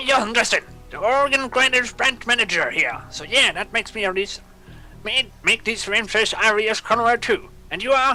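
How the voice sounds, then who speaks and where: A put-on character voice at a fairly high pitch and moderate pace, with clear music in the background. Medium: machinima. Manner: chatty, good-humored.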